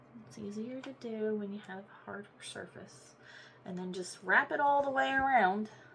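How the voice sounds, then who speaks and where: Over noticeable background noise, a woman speaks at a moderate pace in a fairly high voice, her intonation lively and her loudness swinging widely. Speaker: crafting YouTuber. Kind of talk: tutorial. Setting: at home desk.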